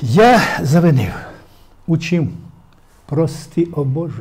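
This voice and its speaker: Slowly, at a very slow pace, a man speaks in a high pitch with a dark, mellow tone. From Ukraine, Poltava region; Ukraine. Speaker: poet, war veteran; guest. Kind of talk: interview with poetry reading. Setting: studio. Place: studio. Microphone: lapel.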